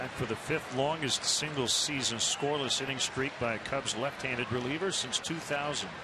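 A man with a fairly high pitch talks at a moderate pace, his loudness very even and his intonation fairly even. Noticeable background noise can be heard. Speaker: TV baseball play-by-play announcer. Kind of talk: live baseball play-by-play commentary, crisp pitch-by-pitch calls. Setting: broadcast booth at ballpark. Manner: brisk, measured broadcaster cadence.

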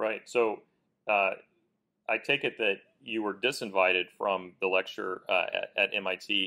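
Against a quiet background, a man with an American accent talks at a fairly slow pace with long, frequent pauses. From Kansas. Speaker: lawyer and interview host; lawyer, interview host. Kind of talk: interview. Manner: hesitant, many fillers and repeated words. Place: studio. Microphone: lapel.

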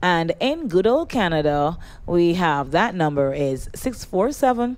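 A woman talks at a very slow pace in a fairly low voice. Her pitch swings very widely. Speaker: radio show host. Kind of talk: radio host announcements. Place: studio. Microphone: studio mic.

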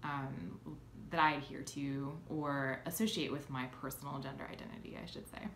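A woman speaks in a very deep, low pitch. Audible room echo and light background noise come through. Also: ordinary pitch variation, moderate pace, big swings in loudness. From Philadelphia, US. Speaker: YouTuber and game designer; YouTuber. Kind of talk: casual vlog. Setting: at home in new place. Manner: hesitant, many filler ums. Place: home room. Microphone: phone near.

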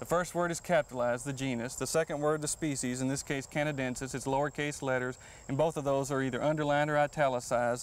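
In a Texan accent, a man with a fairly high pitch speaks very fast with hardly any pauses, in a monotone, flat intonation. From Texas. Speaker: horticulturist. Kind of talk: gardening show interview.

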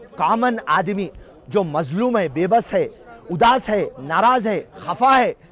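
A man with lively intonation, in a dry sound with no echo and light background noise. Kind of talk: interview answer, political speech. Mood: angry protest. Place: street. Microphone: handheld.

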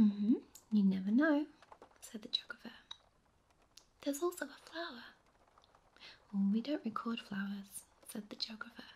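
The speech is soft-spoken and moderately paced. Long pauses come often. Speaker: audiobook narrator. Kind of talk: sleep story. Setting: rain sounds in background.

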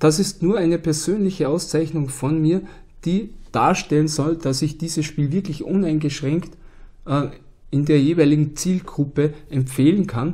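A man's fairly high-pitched voice, dark and mellow in tone, with fairly even intonation. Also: fairly slow pace. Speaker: board game YouTuber. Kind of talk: solo video monologue. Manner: casual, filler-heavy.

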